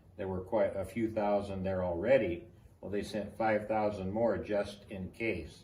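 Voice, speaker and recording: In a dark, mellow tone and an American accent, a man with a fairly low, somewhat breathy voice speaks at a fairly slow pace with fairly even intonation, with audible room echo around him. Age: 70s. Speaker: army veteran. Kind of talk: oral history interview.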